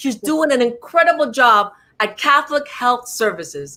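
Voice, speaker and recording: A woman with a New York accent speaks at a moderate pace in a high, bright, sharp voice, animated in tone and lively in intonation. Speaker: talk show host. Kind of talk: interview.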